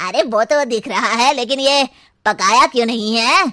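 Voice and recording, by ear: A cartoonish character voice at a moderate pace. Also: woman, high pitch for a woman.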